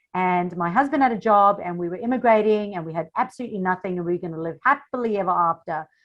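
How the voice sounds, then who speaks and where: A woman with a South African accent talks very fast at a medium pitch with ordinary pitch variation against a quiet background. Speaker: social media marketing coach. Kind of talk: interview. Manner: animated.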